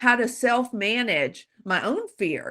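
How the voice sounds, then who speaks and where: A woman with an American accent has a bright, sharp tone with vocal fry. The recording is very clean with a silent background. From US South, Louisiana. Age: 60s. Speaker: psychological safety expert and author. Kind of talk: guest talk.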